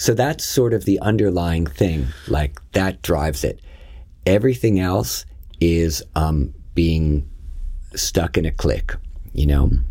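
Very slowly, with long, frequent pauses, a man speaks at a very deep, low pitch in a somewhat breathy, dark, mellow tone, with lively intonation and very even loudness. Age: 50s. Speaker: yoga teacher. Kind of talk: casual chat.

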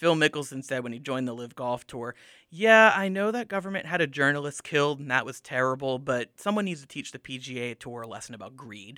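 Lively intonation and big swings in loudness, in a very clean recording with a silent background. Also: man. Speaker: student media advisor. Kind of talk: casual sports discussion.

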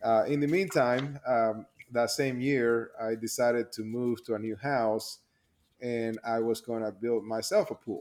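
Speaking at a fairly slow pace with a Spanish accent, a man keeps a medium pitch and fairly even intonation on a very clean recording with a silent background. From Panama. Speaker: pond contractor, business owner. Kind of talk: interview.

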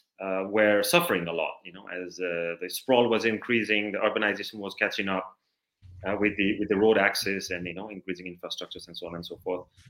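A man at a very fast pace, fairly low in pitch, with fairly even intonation and big swings in loudness. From Nepal, Dang district (midwest). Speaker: conservation activist. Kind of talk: interview.

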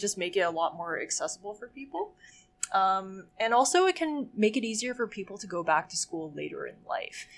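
Here a woman speaks at a moderate pace in a medium pitch. Her intonation is lively, with big swings in loudness. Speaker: guest. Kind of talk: casual chat.

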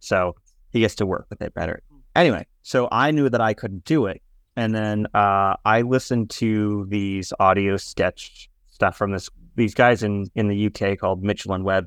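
A man with an unremarkable speaking voice, fairly low in pitch and with ordinary pitch variation, speaks at a moderate pace in a dry, close recording with no echo and a quiet background. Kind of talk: casual interview. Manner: joking.

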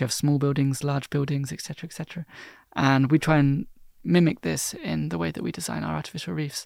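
A man with a southern English accent and a fairly high pitch, at a fairly quick pace, on a very clean recording with a silent background. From southern England (London area, Cornwall). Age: 20s. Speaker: marine biologist. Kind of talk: casual interview. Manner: hesitant, many fillers.

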